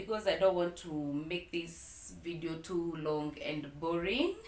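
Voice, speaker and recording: With noticeable background noise and audible room echo, a woman speaks in a fairly low pitch. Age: 30s. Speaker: vlogger. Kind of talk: personal storytime vlog. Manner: slow; hesitant, many fillers.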